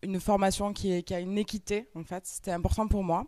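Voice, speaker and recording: With a slight Toulouse accent, a woman speaks at medium pitch with ordinary pitch variation. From France, Toulouse. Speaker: entrepreneur and trainer. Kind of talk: conference talk. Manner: hesitant, many fillers.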